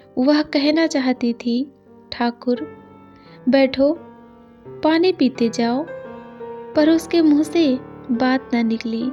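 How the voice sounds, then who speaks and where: Over music in the background, a woman with a high voice and ordinary pitch variation speaks with long, frequent pauses. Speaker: story narrator. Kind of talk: read story.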